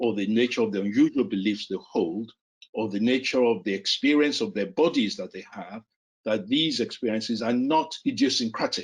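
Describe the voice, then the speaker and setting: Someone with a Yoruba accent speaks at a moderate pace with ordinary pitch variation. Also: man, medium pitch for a man. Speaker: psychiatry professor. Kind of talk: interview discussion. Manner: halting.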